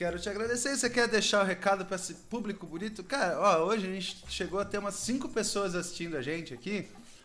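Amid noticeable background noise, a high-pitched man talks at a very fast pace with hardly any pauses and ordinary pitch variation. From Brazil, São Paulo state (Cotia). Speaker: podcast host. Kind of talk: casual chat.

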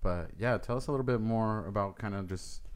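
This man speaks fairly quickly. The movement in his pitch is ordinary. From Southern California, born in Mexico. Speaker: podcast host and DJ. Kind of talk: casual chat. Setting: studio.

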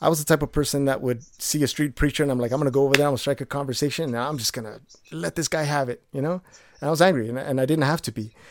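Over a silent background in a very clean recording, a man talks very fast at a fairly high pitch with ordinary pitch variation. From Mexico. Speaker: singer-songwriter and YouTuber. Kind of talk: casual interview chat. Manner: halting, frequent repetitions.

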